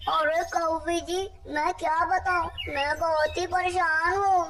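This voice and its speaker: An extremely high-pitched cartoonish character voice at a fairly slow pace, over clear background noise. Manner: grumbling, hot-tempered.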